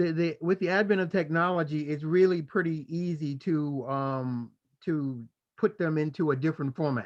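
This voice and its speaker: A man has a normal speaking voice at a fairly high pitch. He keeps a moderate pace with ordinary pitch variation. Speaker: podcast host. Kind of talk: casual chat.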